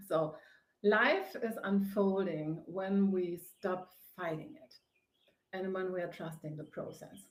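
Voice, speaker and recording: A woman with a German accent speaks at a very slow pace and medium pitch, with ordinary pitch variation and big swings in loudness. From Germany. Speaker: face yoga teacher and author. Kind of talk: live broadcast monologue. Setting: home on a sofa. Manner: hesitant with many fillers.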